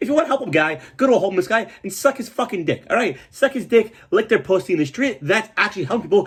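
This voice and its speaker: Recorded with total clarity over dead silence, a man talks in an animated way. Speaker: comedian. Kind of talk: casual storytelling monologue. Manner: fast.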